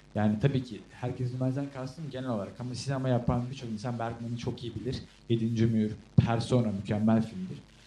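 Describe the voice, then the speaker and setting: The speech comes at a fairly quick pace with fairly even intonation and audible room echo. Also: man, medium pitch for a man. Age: young. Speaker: podcast co-host, film student. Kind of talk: casual chat.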